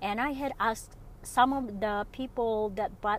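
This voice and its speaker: A woman with a fairly high voice talks at a fairly slow pace, keeping her intonation fairly even. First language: not English. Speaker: solo podcaster and online seller. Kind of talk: casual solo monologue. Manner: unscripted, with many fillers.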